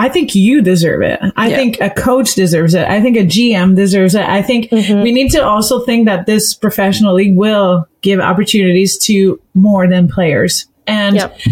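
With an unremarkable speaking voice, a woman talks at a moderate pace and medium pitch, with ordinary pitch variation, very even loudness and hardly any pauses. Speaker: podcast co-host. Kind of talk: casual interview chat.

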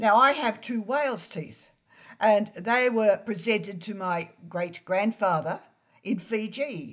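In an Australian accent, a woman speaks at medium pitch and a very slow pace with ordinary pitch variation. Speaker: genealogist and author. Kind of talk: interview.

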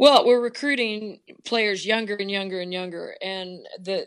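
A woman at a medium pitch, moderate in pace, with ordinary pitch variation. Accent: American. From Oklahoma, small town. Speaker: basketball coach. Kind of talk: casual interview.

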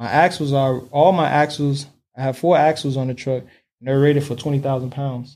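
A man with an American accent speaks fairly quickly in a fairly high pitch, with a dark, mellow tone and monotone, flat intonation, in a very clean recording with a silent background. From Miami, Florida. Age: 30s. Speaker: heavy haul trucker and mentor. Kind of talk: interview.

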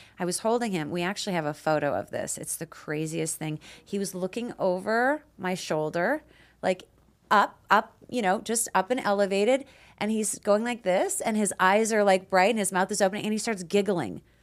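An ordinary speaking voice from a woman, medium-pitched with ordinary pitch variation, at a moderate pace. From Canada, Peace River, Alberta. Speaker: nurse practitioner and podcast host. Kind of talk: casual chat.

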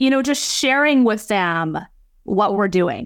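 With a Canadian accent, a woman talks at a moderate pace with very wide pitch swings. The recording is very clean, with a silent background. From British Columbia, Canada (Abbotsford, near Vancouver). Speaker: leadership consultant and speaker. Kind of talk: interview conversation.

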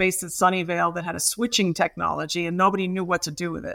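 The voice has an American accent, a bright, sharp tone and vocal fry, with fairly even intonation. The recording is very clean with a silent background. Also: woman. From US, Brooklyn New York. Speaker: startup lawyer and singer. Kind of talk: interview.

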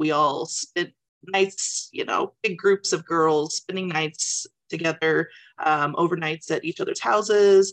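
In a normal speaking voice, a woman talks at a fairly slow pace with a fairly low pitch and fairly even intonation, the sound dry and close with no echo. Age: 40s. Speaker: book club member. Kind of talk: testimony. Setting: video call.

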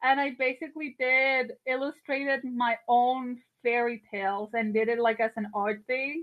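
A woman speaks in a high voice with a Spanish accent and hardly any pauses. Her intonation stays fairly even. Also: moderate pace. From Colombia, Barranquilla. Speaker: comic artist and animator. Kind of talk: casual interview.

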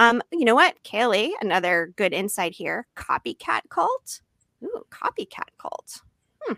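Speaking fairly slowly, a woman with a fairly high pitch and a bright, sharp, animated tone swings her pitch very widely, recorded dry and close with no echo. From Massachusetts. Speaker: podcast host. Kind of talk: casual chat. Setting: live stream.

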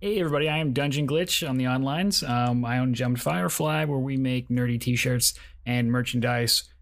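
A man with an ordinary speaking voice talks at a fairly quick pace and medium pitch, with ordinary pitch variation, on a very clean recording with a silent background. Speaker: player and D&D influencer. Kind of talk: tabletop roleplaying game session.

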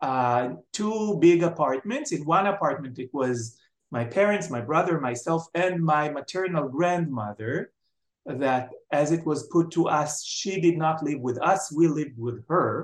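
Speaking with an Israeli accent at a fairly slow pace, a man uses a fairly high pitch with ordinary pitch variation. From Israel, Jerusalem. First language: Hebrew. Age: 60s. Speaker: writer and television personality. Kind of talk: interview.

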